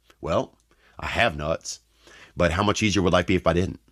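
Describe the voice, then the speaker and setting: A man with a Southern US accent speaks at a fairly quick pace in a very clean recording with a silent background and a dry, close sound with no echo. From Louisiana. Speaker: comedian. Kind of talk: stand-up style storytelling.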